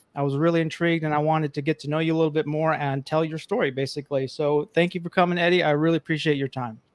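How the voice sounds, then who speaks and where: Speaking with an American accent at a very fast pace and hardly any pauses, a man keeps a fairly high pitch and fairly even intonation in a dry, close sound with no echo. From New York (Bronx). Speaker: financial social worker, podcast host. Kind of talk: interview.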